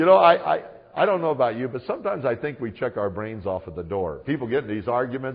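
The speech rushes at a very fast pace with very wide pitch swings. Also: man. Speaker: pastor and Bible teacher. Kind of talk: sermon / Bible teaching. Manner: conversational, humorous, emphatic.

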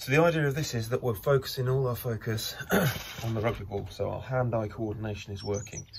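Over noticeable background noise, a man talks very fast with ordinary pitch variation. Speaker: rugby coach. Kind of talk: tutorial. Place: garden.

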